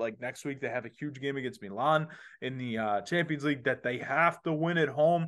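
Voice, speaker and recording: A man's fairly high voice at a fairly quick pace. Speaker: podcast host. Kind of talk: casual sports chat. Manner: animated, excitable.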